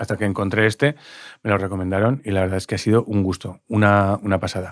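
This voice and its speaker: On a very clean recording with a silent background, a man with a fairly low pitch talks at a fairly quick pace. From Spain, Pamplona (Navarre). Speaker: podcast host, dietitian-nutritionist. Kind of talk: casual chat.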